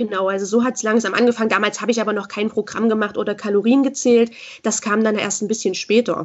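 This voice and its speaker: A woman speaks at a very fast pace in a fairly high pitch. Her intonation is fairly even. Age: 20s. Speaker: school social worker and body-positivity coach. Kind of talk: interview.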